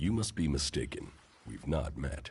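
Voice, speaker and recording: Putting on a growling character voice, a man speaks in a very deep, low pitch with a calm tone, ordinary pitch variation and a moderate pace. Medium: video game. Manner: terse, calm.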